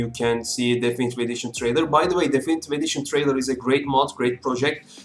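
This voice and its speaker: A man speaks at a medium pitch with a non-native accent. Music plays in the background. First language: not English. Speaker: gaming youtuber. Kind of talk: gameplay tutorial. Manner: halting, many fillers.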